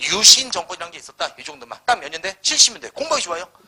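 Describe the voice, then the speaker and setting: In an animated tone, a man speaks at a very fast pace. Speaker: history lecturer. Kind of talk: lecture. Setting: live classroom lecture.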